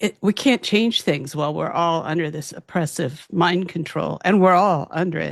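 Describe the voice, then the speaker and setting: A woman with vocal fry speaks at a fairly low pitch. Her pace is moderate, with ordinary pitch variation. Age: 70s. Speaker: physician and abuse survivor activist. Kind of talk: interview testimony.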